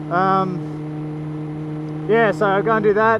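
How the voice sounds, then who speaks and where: Noticeable noise sits in the background. Over it, a man talks with lively intonation. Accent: Australian. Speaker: motorcycle vlogger. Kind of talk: casual vlog. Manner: loud.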